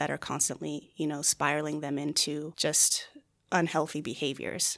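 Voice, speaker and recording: With vocal fry and an American accent, a woman speaks at a moderate pace in a very deep, low pitch, in a very clean recording with a silent background. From Arizona (Phoenix area, Chandler). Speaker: counselor. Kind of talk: interview.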